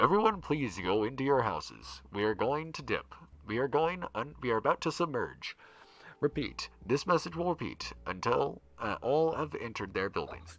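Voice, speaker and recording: A loud, booming put-on character voice at a moderate pace, with very wide pitch swings over a quiet background. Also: man, fairly high pitch for a man. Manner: urgent, repeating.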